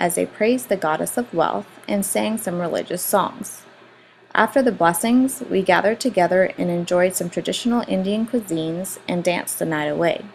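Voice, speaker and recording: Medium-pitched female voice at a moderate pace, ordinary pitch variation, noticeable background noise. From Puerto Rico. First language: Spanish. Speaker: school director. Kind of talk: student presentation. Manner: formal.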